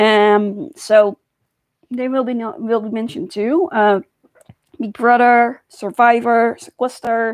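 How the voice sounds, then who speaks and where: In a Dutch accent, a woman talks at a very slow pace and a fairly high pitch. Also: ordinary pitch variation. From Netherlands. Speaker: YouTuber. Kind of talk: personal vlog monologue. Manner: halting.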